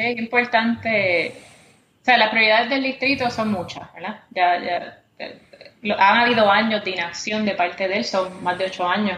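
A plain, everyday voice from a woman, fairly high in pitch, with ordinary pitch variation at a moderate pace. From Puerto Rico, Caguas. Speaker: congressional candidate. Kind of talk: interview.

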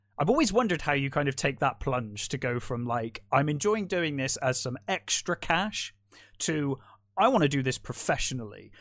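With a normal speaking voice, a man talks at a fairly high pitch, moderate pace and lively intonation in a very clean recording with a silent background. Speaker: podcast host. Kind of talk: casual interview chat.

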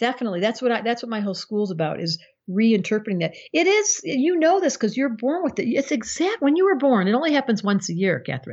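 Very wide pitch swings mark a woman's fairly high voice as she talks at a very fast pace. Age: 60s. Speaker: astrologer and psychotherapist. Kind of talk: casual interview chat.

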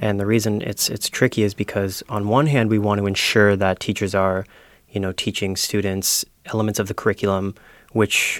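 With a Canadian accent, a man speaks fairly quickly in a fairly low, monotone voice with flat intonation, recorded dry and close with no echo on a very clean recording with a silent background. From Ontario. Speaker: education and policy coordinator. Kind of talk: panel discussion. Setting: studio.

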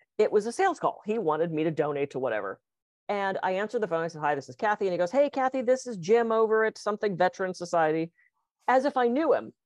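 A woman at a very fast pace and medium pitch with very wide pitch swings, in dry, close sound with no echo. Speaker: podcast co-host and hypnotist. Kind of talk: casual conversational podcast. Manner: fast talker.

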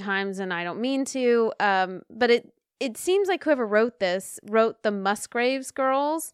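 A woman with a plain, everyday voice speaks at a fairly slow pace, fairly high in pitch with ordinary pitch variation, in a dry, close sound with no echo. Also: very clean recording, silent background. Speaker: podcast co-host. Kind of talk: casual chat, podcast recap.

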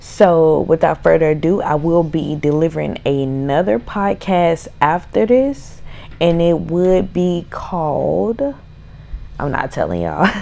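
Her voice fairly low in pitch, a woman speaks at a fairly slow pace with lively intonation. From Mississippi. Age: 20s. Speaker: podcast host. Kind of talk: casual solo podcast intro.

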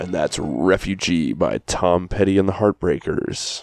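A raspy, put-on character voice at a moderate pace, with music in the background. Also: man, very deep, low pitch for a man. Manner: smooth, polished announcer delivery.

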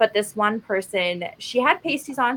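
A woman with a Canadian accent speaks at medium pitch with ordinary pitch variation. She has a plain, everyday voice. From Alberta, Canada. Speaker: podcast co-host, cosplayer. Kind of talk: casual chat.

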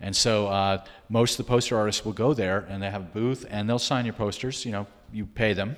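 A man with an ordinary speaking voice talks at a fairly quick pace. His pitch is fairly low and his intonation fairly even. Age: 60s. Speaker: art gallery owner. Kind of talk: interview conversation.

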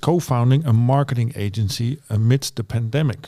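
At a moderate pace, a man uses an unremarkable speaking voice with a medium pitch and ordinary pitch variation. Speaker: university lecturer and podcast co-host. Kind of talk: podcast interview.

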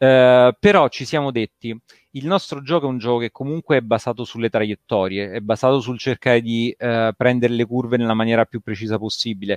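Using a plain, everyday voice, a man holds a medium pitch and keeps his intonation fairly even. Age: 40s. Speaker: video game developer. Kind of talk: casual interview chat.

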